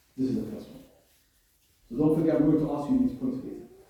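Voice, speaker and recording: Amid audible room echo, a man with a fairly high pitch speaks with very wide pitch swings. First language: not Arabic. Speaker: Islamic lecturer. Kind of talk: religious lecture. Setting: venue with live audience. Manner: conversational, interactive.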